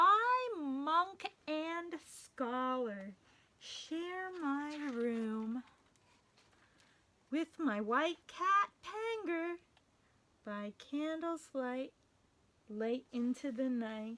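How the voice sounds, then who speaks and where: In a put-on character voice, a woman speaks at a high pitch and a very slow pace, with very wide pitch swings and long, frequent pauses. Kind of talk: bedtime story. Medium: read story. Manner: calm, gentle.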